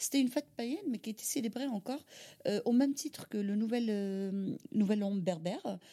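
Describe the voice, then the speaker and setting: Her voice is somewhat breathy, with a dark, mellow tone and a fairly high pitch. This woman speaks at a moderate pace with lively intonation. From Algeria, Algiers. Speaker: caterer and mother. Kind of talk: interview testimony. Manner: halting, with repetitions.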